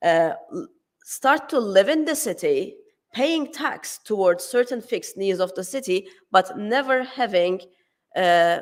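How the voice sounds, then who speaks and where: With a Turkish accent, a woman speaks at a fairly slow pace in a fairly high pitch with very wide pitch swings, on a very clean recording with a silent background. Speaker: academic conference speaker. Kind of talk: conference talk. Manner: hesitant, many fillers and restarts.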